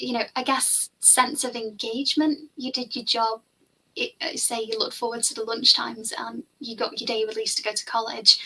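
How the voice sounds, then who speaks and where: A woman with a Liverpool accent speaks at a moderate pace in a bright, sharp tone. Her pitch is fairly high, with ordinary pitch variation. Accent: Liverpool (Scouse). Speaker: finance tutor. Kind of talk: casual chat. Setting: live stream.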